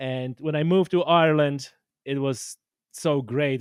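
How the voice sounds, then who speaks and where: This is a man speaking with a Polish accent. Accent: Polish accent, non-native. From Poland. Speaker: podcast host and angler. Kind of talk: casual interview chat. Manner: halting, many fillers and restarts.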